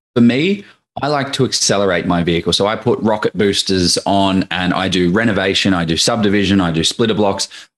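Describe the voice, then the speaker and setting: Speaking at a fairly quick pace, a man with an Australian accent has a fairly low pitch, ordinary pitch variation and very even loudness. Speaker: property investor. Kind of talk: casual interview. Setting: video call.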